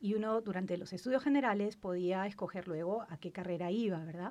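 A woman with an ordinary speaking voice, medium in pitch, at a fairly quick pace. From Peru, Lima. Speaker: cancer researcher. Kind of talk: interview.

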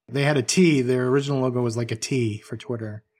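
A man speaks at a moderate pace in an unremarkable speaking voice, medium in pitch with ordinary variation, on a very clean recording with a silent background. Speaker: icon and emoji designer, studio co-owner. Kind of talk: interview chat.

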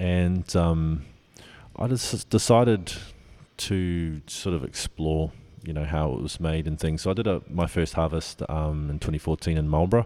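In a New Zealand accent, a man speaks with a very deep, low pitch and a dark, mellow tone. His pace is moderate, his pitch varies in an ordinary way, and the recording is very clean with a silent background. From New Zealand, Auckland. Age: young. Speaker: winemaker. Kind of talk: interview. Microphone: slight echo.

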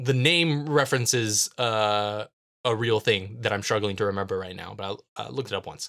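In a very clean recording with a silent background, a man's bright, sharp tone comes through with big swings in loudness. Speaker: podcast co-host and audio engineer. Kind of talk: casual chat. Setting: same room as co-host. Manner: projecting, carrying voice.

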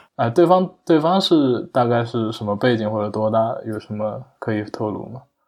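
At a medium pitch and moderate pace, a man speaks with lively intonation and hardly any pauses. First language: a Chinese dialect (speaking Chinese). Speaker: software developer, hobby Japanese learner. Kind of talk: casual interview conversation. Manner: halting, many fillers.

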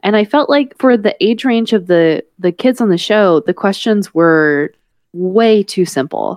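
This is a woman with an ordinary speaking voice and an American accent, pitched in the medium range. She talks at a fairly slow pace with lively intonation and very even loudness. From US South. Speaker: podcast host and parent. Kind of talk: casual chat.

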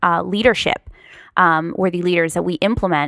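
A woman with a Californian accent speaks at a moderate pace in a fairly low pitch, with ordinary pitch variation and a bright, sharp tone, in a very clean recording with a silent background and a dry, close sound with no echo. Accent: Californian American. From Los Angeles area, California. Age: 30s. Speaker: podcast host. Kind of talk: interview.

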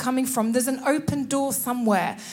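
A woman speaks at a moderate pace with a high pitch and animated tone, amid audible room echo and noticeable background noise. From northern England. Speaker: preacher. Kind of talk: sermon.

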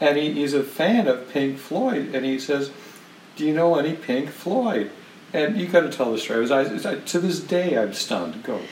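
A man speaks at a moderate pace in a fairly high voice with lively intonation, over noticeable background noise. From Canada. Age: 60s.

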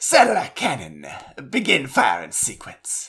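Delivered at a moderate pace, a raspy, put-on character voice carries the lines.

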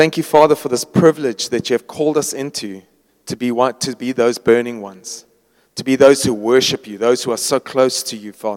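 In a dry, close sound with no echo, a man with an ordinary speaking voice talks at a fairly quick pace and medium pitch, with ordinary pitch variation and big swings in loudness. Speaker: worship leader. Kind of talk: prayer and closing remarks. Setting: church gathering.

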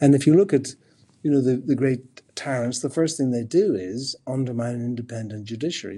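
Recorded very cleanly against a silent background, a man with fairly high pitch and a dark, mellow, somewhat breathy tone speaks at a moderate pace with an Irish accent. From Ireland. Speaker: professor of philosophy. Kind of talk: interview.

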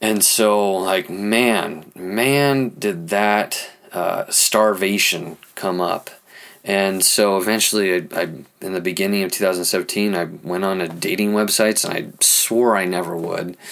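At a fairly slow pace, a man talks at a fairly low pitch with fairly even intonation. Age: 30s. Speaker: marriage and family therapist, podcast host. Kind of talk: personal monologue. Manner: halting, many fillers; improvised.

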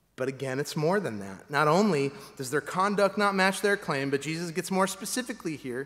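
This man has a normal speaking voice, fairly high in pitch, with lively intonation. His pace is moderate. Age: 40s. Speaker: pastor. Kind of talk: sermon.

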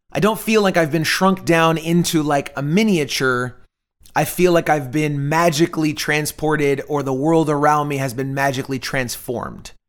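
With an American accent, a man speaks at a moderate pace in a fairly high pitch, his animated delivery showing ordinary pitch variation in a very clean recording with a silent background. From Florida, US. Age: 30s. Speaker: podcast host. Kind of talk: casual solo podcast monologue.

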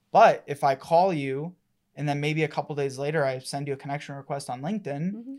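A man with an ordinary speaking voice, fairly high in pitch and with fairly even intonation, on a very clean recording with a silent background. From Colorado. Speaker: marketing agency partner. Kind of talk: casual interview.

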